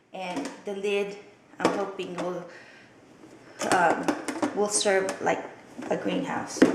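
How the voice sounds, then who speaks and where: Speaking very slowly with long, frequent pauses, a woman uses a medium pitch and fairly even intonation over noticeable background noise and audible room echo. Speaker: vlogger. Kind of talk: casual vlog. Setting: at home. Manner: soft-spoken.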